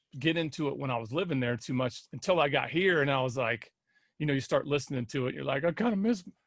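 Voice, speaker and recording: With a Midwestern US accent, a man talks very fast at a fairly high pitch and ordinary pitch variation. The recording is very clean, with a silent background. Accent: US Midwest. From Indiana (Kokomo). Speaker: musician. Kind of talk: casual interview.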